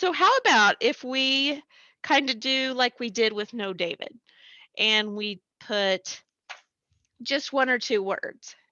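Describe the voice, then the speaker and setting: The loud voice moves at a very slow pace with long, frequent pauses and ordinary pitch variation. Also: woman, high pitch for a woman. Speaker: elementary school teacher. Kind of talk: online class lesson. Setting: recorded remote lesson on computer. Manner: animated.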